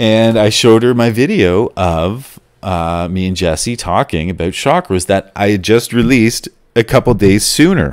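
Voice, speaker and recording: A man with a Canadian accent speaks in a normal speaking voice at a fairly low pitch. His pace is moderate and his intonation lively. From Canada. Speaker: college radio host. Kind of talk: solo monologue.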